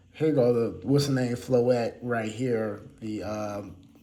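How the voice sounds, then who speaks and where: Audible room echo surrounds a man's voice. He speaks very slowly with fairly even intonation. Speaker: card collecting YouTuber. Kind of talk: casual unscripted deck showcase. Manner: halting, many fillers.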